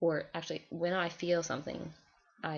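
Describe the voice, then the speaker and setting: Vocal fry in a woman's fairly low-pitched voice, fairly slow in pace. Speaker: college student vlogger. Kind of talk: video diary. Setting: alone in dorm room, recording on computer. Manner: forceful when passionate.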